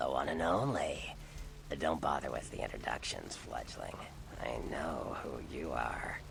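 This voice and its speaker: A man's put-on character voice, very deep and low, over loud background noise. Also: moderate pace. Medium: video game. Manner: teasing, playful.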